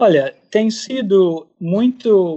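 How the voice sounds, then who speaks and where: With an English accent, the speaker's pitch moves in an ordinary way. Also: man. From United States. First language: English (speaking Portuguese). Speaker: ornithologist. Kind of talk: radio interview. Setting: remote recording.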